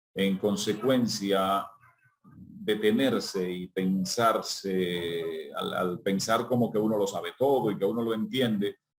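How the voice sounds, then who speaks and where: A man with a plain, everyday voice talks at a fairly slow pace with lively intonation. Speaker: journalist and announcer. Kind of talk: interview answer.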